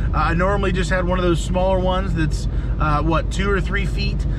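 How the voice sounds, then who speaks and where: A man speaks at a fairly quick pace over loud background noise, his voice dry with no echo. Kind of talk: casual vlog chat. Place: car. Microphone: phone near.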